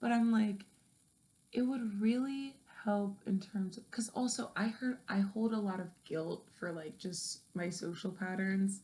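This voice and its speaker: A woman speaks at a fairly slow pace in a dark, mellow tone, somewhat breathy, with ordinary pitch variation. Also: medium pitch for a woman. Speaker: vlogger. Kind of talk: late-night personal monologue. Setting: in the dark at night. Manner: halting, many fillers.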